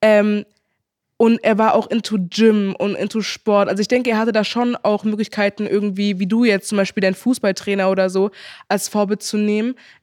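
The voice is monotone with flat intonation, on a very clean recording with a silent background. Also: woman, medium pitch for a woman, moderate pace. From Germany, Heidelberg. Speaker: social media influencer. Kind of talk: casual chat.

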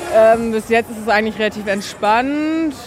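A woman speaks fairly slowly in a fairly high pitch with ordinary pitch variation, over noticeable background noise. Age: 20s. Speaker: paramedic. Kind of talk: on-the-job interview. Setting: outdoors at a carnival crowd.

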